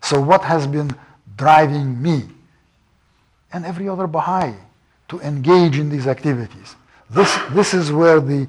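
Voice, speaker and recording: Speaking with a Russian accent at a moderate pace, a man uses a fairly high pitch and takes long, frequent pauses. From Russia and Iran. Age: 70s. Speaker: professor. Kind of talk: lecture.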